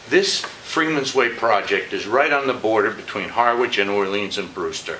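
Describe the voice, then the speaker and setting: Noticeable background noise and audible room echo accompany a man speaking at a moderate pace. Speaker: public commenter at county meeting. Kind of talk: public comment. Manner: loud; halting.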